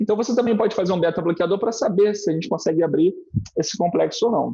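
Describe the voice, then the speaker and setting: Talking at a very fast pace, a man's dark, mellow voice shows ordinary pitch variation. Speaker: cardiologist. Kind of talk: lecture. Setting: online live stream.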